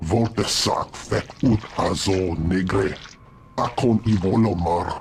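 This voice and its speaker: Over clear background noise, a man puts on a character voice, fairly low in pitch and very slow in pace. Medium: video game.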